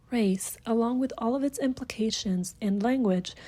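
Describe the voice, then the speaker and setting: A woman's voice comes across somewhat breathy with a dark, mellow tone. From Puerto Rico. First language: Spanish. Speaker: university student. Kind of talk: reading aloud a reflection essay.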